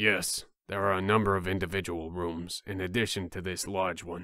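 A put-on character voice comes at a moderate pace with flat, monotone intonation. The recording is very clean, with a silent background. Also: man, very deep, low pitch for a man. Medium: game stream. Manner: formal, composed.

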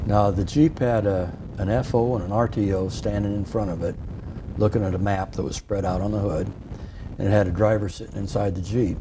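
Against noticeable background noise, a man with a fairly low pitch talks at a fairly quick pace with fairly even intonation. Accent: Midwestern American. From Iowa, Sioux City; Iowa. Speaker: war veteran. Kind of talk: interview storytelling. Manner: halting. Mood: calm, reflective. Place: studio. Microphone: lapel.

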